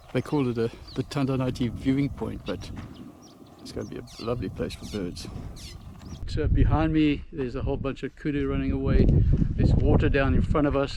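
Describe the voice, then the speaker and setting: Over noticeable background noise, a man talks at a fairly quick pace with long, frequent pauses and big swings in loudness. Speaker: travel vlogger. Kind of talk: casual travel vlog narration. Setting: outdoors at a bird hide.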